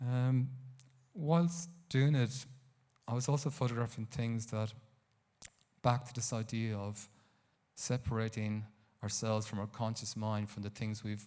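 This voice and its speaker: A man with an Irish accent speaks at a fairly slow pace, his medium-pitched voice dark and mellow, his intonation fairly even. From Ireland, County Carlow. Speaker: photographer. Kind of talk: talk to a live audience. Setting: stage with audience. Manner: halting.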